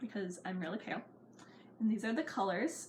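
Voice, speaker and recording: Through noticeable background noise, a woman speaks at a fairly high pitch. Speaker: beauty vlogger. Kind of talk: tutorial. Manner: mumbling; casual and chatty.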